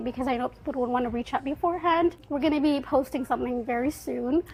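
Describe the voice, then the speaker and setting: A woman talks loudly at a very fast pace. Her pitch is high. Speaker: university student and community organizer. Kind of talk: podcast interview. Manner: casual, animated.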